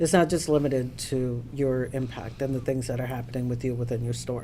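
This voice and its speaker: The talking moves at a fairly quick pace. Noticeable background noise sits behind it. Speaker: union leader. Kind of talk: meeting address. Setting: union meeting, livestreamed.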